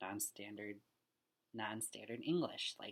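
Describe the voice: Marked by vocal fry, the voice has a fairly bright tone and fairly even intonation at a slow pace.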